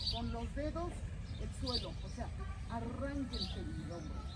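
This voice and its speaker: A woman speaking at a fairly slow pace over loud background noise. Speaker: qigong instructor. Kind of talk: exercise class instruction. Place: street. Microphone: camera far.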